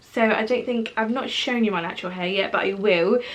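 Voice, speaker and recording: The voice shows ordinary pitch variation, and there is noticeable background noise. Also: woman. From Portugal until age ten, then England. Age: 20s. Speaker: vlogger. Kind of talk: casual vlog talk to camera.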